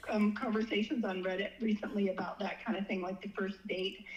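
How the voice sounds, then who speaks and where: A woman talks over noticeable background noise. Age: 60s. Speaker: dating guest sharing experiences. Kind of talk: casual interview. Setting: phone call. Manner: halting with repetitions.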